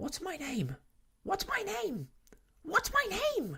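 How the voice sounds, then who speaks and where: This is a put-on character voice, squeaky and shrill at an extremely high pitch. It moves at a very slow pace. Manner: anxious, repetitive.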